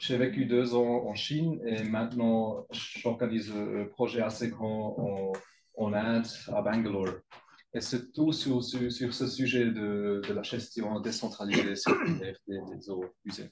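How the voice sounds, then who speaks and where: At a very slow pace, a man with a non-native accent and a medium pitch speaks with fairly even intonation. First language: not French (speaking French). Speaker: research group leader. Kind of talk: conference presentation. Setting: scientific council meeting. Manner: halting, many hesitations.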